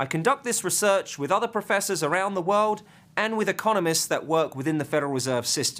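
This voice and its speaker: A man with an English accent, high pitch, lively intonation, and a very fast pace, on a very clean recording with a silent background. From southeast England. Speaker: finance professor. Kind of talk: lecture.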